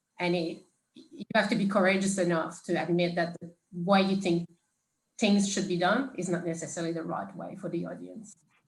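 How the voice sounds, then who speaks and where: A woman's medium-pitched voice with a non-native accent, monotone, flat intonation and a moderate pace. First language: French. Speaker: panelist, operations professional. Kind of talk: panel discussion. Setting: video call.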